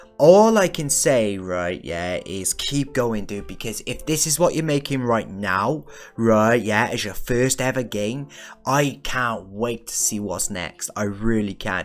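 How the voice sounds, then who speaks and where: A man talks at a fairly slow pace with faint music in the background. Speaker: gaming video creator. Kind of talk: game review commentary. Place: home room. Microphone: studio mic.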